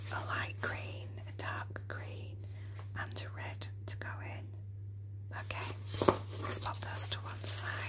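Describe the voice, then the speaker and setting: Very slow speech under loud background noise. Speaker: journal maker in a role play. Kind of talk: ASMR role play, soft-spoken appointment. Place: home room.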